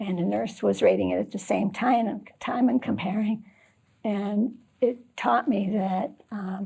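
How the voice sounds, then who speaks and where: A woman's voice with vocal fry and a dark, mellow tone, at a fairly slow pace with ordinary pitch variation. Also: medium pitch for a woman. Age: 70s. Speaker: patient advocate. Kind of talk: interview. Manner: halting.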